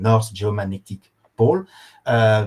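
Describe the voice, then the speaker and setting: A man is speaking. He has a French accent. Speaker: professor, geochronologist. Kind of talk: lecture. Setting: online course. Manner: halting, many fillers.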